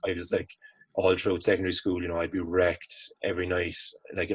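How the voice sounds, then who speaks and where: A man with a Cork accent speaks at a very fast pace in a very deep, low voice, somewhat breathy, over a quiet background. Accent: Cork Irish. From Ireland, Cork. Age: 20s. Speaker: college student, fitness enthusiast. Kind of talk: casual interview chat.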